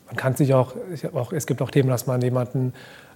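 Noticeable background noise sits behind a man speaking at a very fast pace. His pitch is medium and his intonation monotone and flat. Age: 30s. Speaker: fashion brand founder. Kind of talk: interview. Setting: live event recording.

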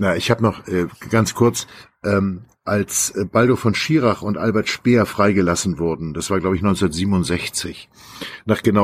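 Very slowly, a man speaks in a very deep, low pitch. His pitch varies in an ordinary way. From Schleswig-Holstein near Hamburg, northern Germany. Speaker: journalist and author. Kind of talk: casual chat.

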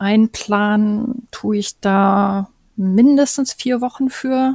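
A woman's medium-pitched voice, dark and mellow, with ordinary pitch variation and a dry, close sound with no echo. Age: 40s. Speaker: caravan interior designer, self-employed. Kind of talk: podcast interview. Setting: studio.

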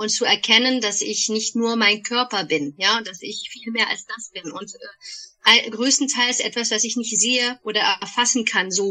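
At a moderate pace, a woman with an unremarkable speaking voice talks in a fairly high pitch, with ordinary pitch variation and big swings in loudness. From Germany, Bonn. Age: 40s. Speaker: podcast co-host, energy practitioner. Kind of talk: casual chat. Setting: remote call.

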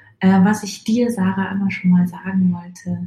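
Her medium-pitched voice is somewhat breathy and dark and mellow in tone, with monotone, flat intonation. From Munich, Bavaria. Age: 30s. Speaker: podcast listener. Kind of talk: recorded voice message. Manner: hesitant, many filler sounds.

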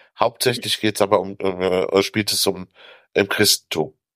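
A man's voice comes through with a dry, close sound and no echo, in a very clean recording with a silent background. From Africa. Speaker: author. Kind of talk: casual chat.

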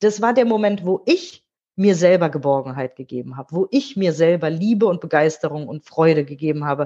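A woman's fairly low, dark and mellow voice, lively in intonation and fairly quick, with a dry, close sound and no echo. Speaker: radio host and author. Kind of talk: interview. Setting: video call.

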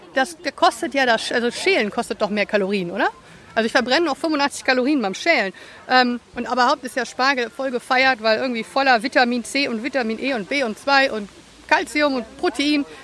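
Through noticeable background noise, a woman speaks at a moderate pace, high in pitch with lively intonation. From partly USA, German-American. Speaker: podcast co-host. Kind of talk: casual chat.

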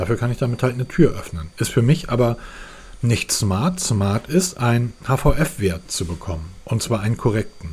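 A man speaks at a fairly slow pace in a medium-pitched, somewhat breathy voice that swings very widely in pitch. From northern Germany, Hamburg. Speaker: tech podcast host. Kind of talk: casual chat.

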